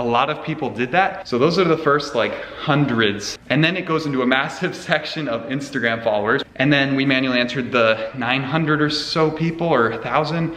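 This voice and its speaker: The delivery is animated and fairly quick. Audible room echo and noticeable background noise are present. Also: man, fairly high pitch for a man, ordinary pitch variation, hardly any pauses. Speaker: car youtuber. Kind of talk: casual chat to camera. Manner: fast.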